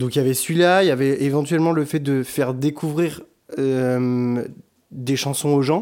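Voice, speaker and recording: A man speaks in a normal speaking voice, fairly high in pitch, at a moderate pace. His intonation is fairly even and his loudness very even. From France, Bordeaux. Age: 20s. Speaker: singer. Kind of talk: casual chat. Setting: living room with echo.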